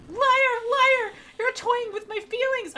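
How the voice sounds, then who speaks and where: A woman uses a squeaky put-on character voice with extremely high pitch. She projects it loudly at a fairly slow pace. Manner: hissing, accusing.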